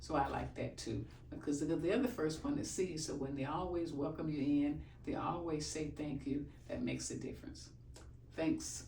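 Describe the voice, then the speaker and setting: There is audible room echo around the speaker. A woman talks at a moderate pace. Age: 70s. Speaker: chiropractic patient. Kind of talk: testimony.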